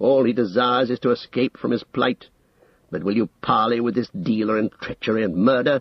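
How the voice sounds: Fairly even intonation in a natural reading voice.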